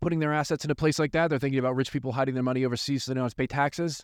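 In a dry, close sound with no echo and a quiet background, a man with an American accent speaks at a medium pitch. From US. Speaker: attorney. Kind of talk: podcast intro.

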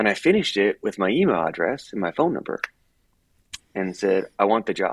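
A man with an American accent talks at a fairly quick pace, leaving long, frequent pauses, in a dry, close sound with no echo. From Miami, Florida. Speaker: running apparel sales executive. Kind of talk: casual interview chat.

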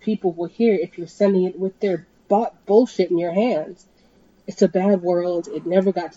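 Reading aloud in a natural voice, the speaker uses fairly even intonation.

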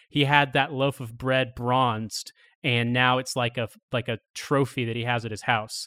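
In a very clean, dry, close recording with a silent background and no echo, a voice with a bright, sharp tone and an American accent speaks at a moderate pace in a monotone, flat intonation. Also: man, medium pitch for a man. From Indiana, US Midwest. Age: 30s. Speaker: podcast guest, political commentator. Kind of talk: casual chat.

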